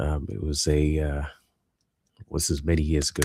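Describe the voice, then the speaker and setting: This man speaks with a British accent. His pitch is very deep and low, and his pace is moderate. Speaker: live streamer, hobbyist building minifigures. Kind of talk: casual live stream chat. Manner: soft-spoken in person, louder on streams.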